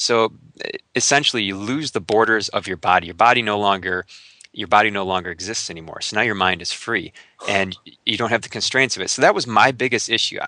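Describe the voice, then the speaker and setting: At a very fast pace, a man speaks in a bright, sharp, fairly low voice with ordinary pitch variation. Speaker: alternative health researcher and radio host. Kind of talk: casual interview conversation. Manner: animated.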